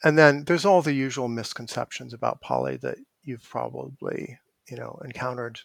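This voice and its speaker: Talking at a fairly quick pace, a man's voice shows big swings in loudness. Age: 50s. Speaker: evolutionary psychology professor. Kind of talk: interview.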